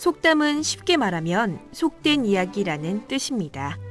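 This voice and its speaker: Over background music, a woman talks at a very slow pace with very wide pitch swings. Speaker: student radio host. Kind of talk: radio educational segment.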